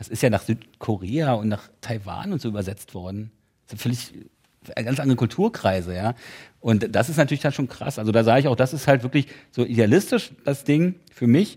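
With a dark, mellow tone and lively intonation, a man talks at a moderate pace in a medium pitch. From East Berlin (Köpenick). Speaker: author. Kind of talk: casual interview chat.

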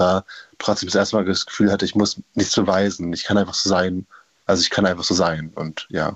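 A man's fairly low voice at a very fast pace, with monotone, flat intonation. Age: young (19). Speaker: caller. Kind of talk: radio call-in.

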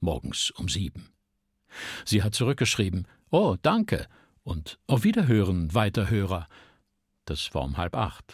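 A man speaks at a fairly slow pace and fairly low pitch, with vocal fry, lively intonation, and long, frequent pauses. The recording is very clean, with a silent background and a dry, close sound with no echo. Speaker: radio narrator and voice actor. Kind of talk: literary reading. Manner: clear standard German articulation.

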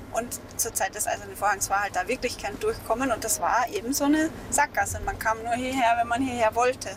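Over music in the background, a woman with a fairly high pitch and ordinary pitch variation talks at a very fast pace with hardly any pauses. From Austria, Mittelburgenland. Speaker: novelist. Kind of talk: casual interview on location.

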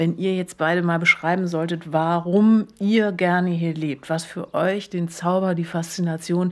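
At a moderate pace, a woman with a fairly low pitch and fairly even intonation uses an unremarkable speaking voice. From Berlin. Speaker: podcast co-host. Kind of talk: casual chat.

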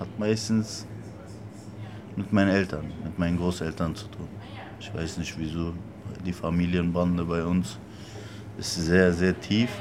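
A man with a very deep, low pitch speaks at a fairly slow pace in fairly even intonation, leaving long, frequent pauses while his loudness swings widely. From Berlin. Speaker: interpreter for the shop owner. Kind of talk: interview.

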